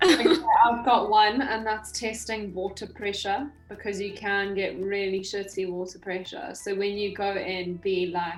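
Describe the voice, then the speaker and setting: A woman speaks fairly slowly at a medium pitch, with fairly even intonation. The room echo is audible, and music plays in the background. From South Africa. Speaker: podcast co-host. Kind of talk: casual chat.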